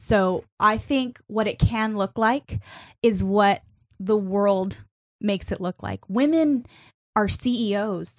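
A woman speaks in an ordinary speaking voice at a medium pitch with ordinary pitch variation, on a very clean recording with a silent background. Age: 30s. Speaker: youth pastor and church media director. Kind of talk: interview. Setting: studio.

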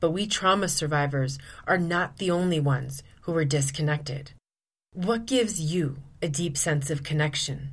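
A woman's very deep, low voice, somewhat breathy, at a moderate pace, with audible room echo. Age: 40s. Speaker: podcast host, abuse recovery coach. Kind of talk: solo podcast monologue.

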